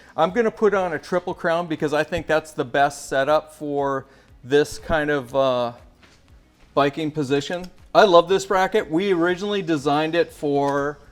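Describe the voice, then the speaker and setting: Over background music, a man with a fairly high pitch speaks at a moderate pace with ordinary pitch variation. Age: 60s. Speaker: bike gear company founder. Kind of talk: product tutorial. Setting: bike shop.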